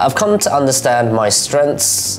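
A man at a fairly slow pace, with ordinary pitch variation and faint music in the background. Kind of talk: scripted vlog talk. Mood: reflective, candid. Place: home room. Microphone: lapel.

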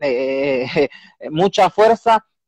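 A woman speaks with very wide swings in pitch, her voice dry and close with no echo at all. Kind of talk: interview. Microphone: laggy internet connection.

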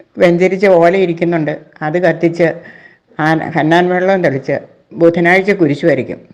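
The woman's voice sits at a fairly low pitch, with very even loudness and fairly even intonation. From Kerala, India (Kothamangalam). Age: 60s. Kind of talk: emotional complaint, address to church leaders.

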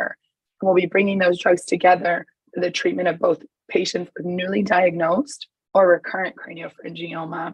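At a moderate pace, a woman speaks in a fairly low, somewhat breathy voice with ordinary pitch variation. The background is quiet, and the sound is dry with no echo. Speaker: pediatric neuro-oncologist; presenter. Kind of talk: conference presentation. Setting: video call. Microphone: webcam.

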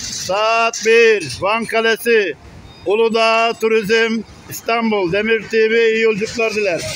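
Over light background noise, a man with a high pitch speaks very slowly in a monotone, flat delivery at very even loudness. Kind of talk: commentary. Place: station. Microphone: phone near.

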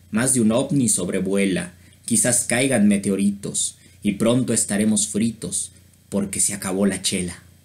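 A man speaks at a fairly slow pace. His pitch is fairly low and his intonation fairly even. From Mexico. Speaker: video creator and amateur poet. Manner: measured, rhythmic pacing with pauses between verses. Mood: satirical, playful. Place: home room. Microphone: webcam.

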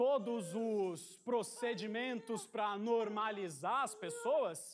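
Someone with a Brazilian accent speaks at a very slow pace over light background noise. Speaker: spoken word poet. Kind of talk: slam poetry performance. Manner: animated; punchy, rhythmic, numbered points. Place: stage. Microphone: studio mic.

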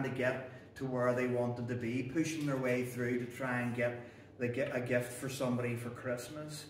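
A man at a moderate pace, with audible room echo and light background noise. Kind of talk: sermon. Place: church. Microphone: camera far.

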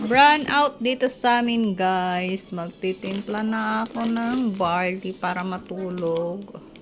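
A very slow pace with hardly any pauses and ordinary pitch variation. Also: woman, medium pitch for a woman. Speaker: vlogger. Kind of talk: casual vlog with product review. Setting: at home during a power outage.

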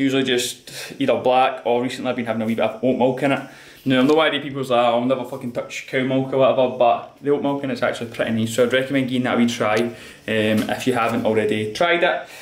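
Delivered at a very fast pace with fairly even intonation, the speech carries audible room echo. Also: man. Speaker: fitness trainer vlogger. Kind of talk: casual vlog chat. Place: home room. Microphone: phone near.

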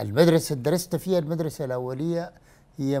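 The speaker is a man. His tone is dark and mellow. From Sudan, Sennar region (Singa); Sudan. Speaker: retired ambassador; guest. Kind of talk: interview, life story. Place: home room. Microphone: lapel.

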